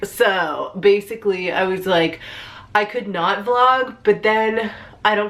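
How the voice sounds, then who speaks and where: A woman keeps her intonation fairly even while noticeable background noise carries on. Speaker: vlogger. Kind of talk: casual talk to camera. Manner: mellow.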